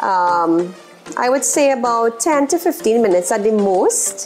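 At a fairly slow pace, a woman talks over faint music in the background. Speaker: cooking show host. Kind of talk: cooking show tutorial. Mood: cheerful, upbeat. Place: kitchen. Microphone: lapel.

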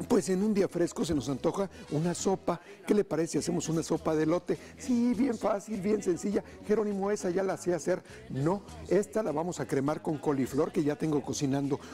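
Against light background noise, a high-pitched man speaks at a fairly quick pace with ordinary pitch variation. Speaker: TV cooking show host. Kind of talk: energetic TV presenter talk. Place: studio. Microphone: lapel.

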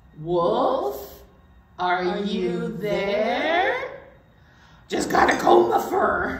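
A female-sounding voice uses a put-on character voice at a medium pitch. It moves at a very slow pace, with a clear echo. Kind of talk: children's storytime play. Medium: read story. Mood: playful.

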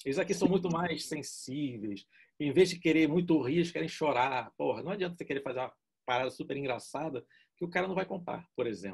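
Against a quiet background, a man talks at a fairly quick pace in a fairly high pitch, with lively intonation and vocal fry. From Brazil. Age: 50s. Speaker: art director; interviewee. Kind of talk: casual interview. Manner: informal, slangy. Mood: relaxed, casual, joking. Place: home room. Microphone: video call.

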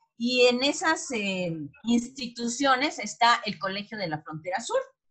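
Over a quiet background, a woman with a Mexican accent talks at a fairly slow pace in a bright, sharp tone, her pitch swinging very widely. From Mexico. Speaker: cooperative producer, market presenter; presenter. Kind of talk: presentation of experience, talk. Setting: video call. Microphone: video call.

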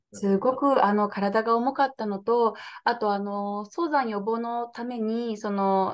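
A woman speaking at a fairly high pitch. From Nagoya, Aichi, Japan; Aichi, Japan. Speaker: political candidate; interviewee, candidate. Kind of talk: interview. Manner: hesitant, many fillers. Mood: earnest, calm. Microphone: video call.

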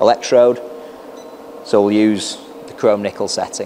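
Over light background noise, the speaker keeps a fairly even intonation at a moderate pace. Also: man. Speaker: welding product demonstrator. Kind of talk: tutorial. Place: workshop. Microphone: lapel.

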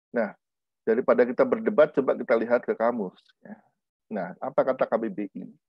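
A man's speech with long, frequent pauses, a quiet background and a dry sound with no echo. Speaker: linguistics professor; lecturer. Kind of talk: lecture. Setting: video call. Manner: hesitant, many fillers; deliberately measured pace. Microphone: webcam.

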